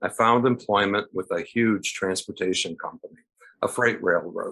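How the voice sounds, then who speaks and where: Against a quiet background, a man with a plain, everyday voice and fairly low pitch talks at a moderate pace with ordinary pitch variation. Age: 60s. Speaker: retired railroad worker, storyteller. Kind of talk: personal story reading.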